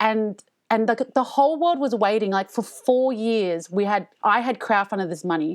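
A woman with an Australian accent speaks in a fairly high pitch with lively intonation. Her pace is moderate, and the background is quiet. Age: 30s. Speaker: comedian. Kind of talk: casual chat. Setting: remote recording from home.

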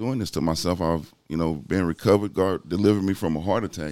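In a very clean recording with a silent background, a man talks in a Southeast Texas accent. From Southeast Texas, Port Arthur and Beaumont. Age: 40s. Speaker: bodybuilder and fitness enthusiast. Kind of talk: casual interview.

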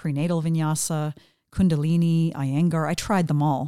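A woman's very deep, low voice with a dark, mellow tone, a Western Canadian accent, fairly even intonation and a moderate pace, on a very clean recording with a silent background. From Western Canada, British Columbia. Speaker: yoga teacher. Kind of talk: casual interview. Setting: home studio.

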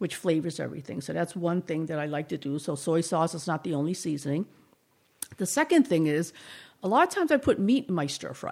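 Fairly low-pitched and talking at a very fast pace, a woman with a slight Boston accent uses lively intonation. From Boston, Chinatown. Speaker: cooking teacher. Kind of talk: casual interview.

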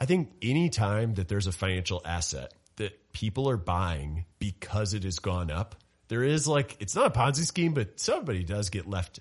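A man speaks with a fairly low, somewhat breathy voice and very wide pitch swings. The background is quiet. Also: moderate pace. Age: 30s. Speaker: financial commentator. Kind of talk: casual chat.

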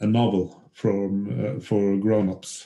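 Speaking at a very slow pace, a man talks with a Norwegian accent. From western Norway. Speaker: former footballer and novelist. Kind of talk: interview. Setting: remote call. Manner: halting.

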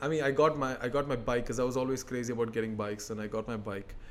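There is audible room echo as a man speaks. His pitch is medium and his intonation fairly even. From UAE, of Keralite Indian family. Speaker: motivational speaker and accident survivor. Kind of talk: interview conversation. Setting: in person, sitting face to face.

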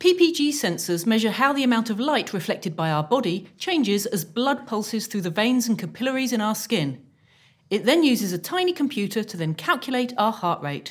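A woman with a British accent speaks fairly quickly in a fairly high, somewhat breathy voice with very wide pitch swings. The recording is very clean, with a silent background. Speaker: inventor and comedy podcast co-host. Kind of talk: live comedy show with sketches. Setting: stage with audience. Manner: animated.

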